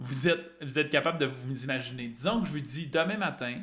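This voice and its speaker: A fairly high-pitched man with a Quebec accent and a bright, sharp tone talks at a fairly quick pace amid audible room echo. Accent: Québécois French. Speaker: fitness and weight-loss coach. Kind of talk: live-streamed talk to an online group.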